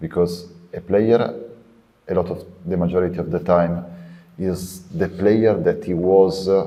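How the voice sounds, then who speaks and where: In an Italian accent, a man with a very deep, low pitch and a dark, mellow tone speaks in a monotone, flat way at a fairly slow pace, with long, frequent pauses. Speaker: podcast host. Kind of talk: podcast interview.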